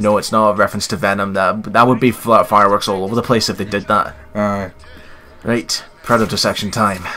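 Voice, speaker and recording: Noticeable background noise sits behind a man talking at a fairly quick pace. His pitch is fairly low and his intonation fairly even. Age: 20s. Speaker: gaming YouTuber. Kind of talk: let's play commentary.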